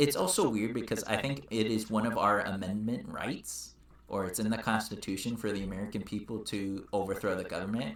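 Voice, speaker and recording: A man's voice at a fairly quick pace with hardly any pauses, ordinary pitch variation and audible room echo. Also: fairly low pitch for a man. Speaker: political podcast co-host. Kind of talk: casual chat. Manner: halting, stumbles over words.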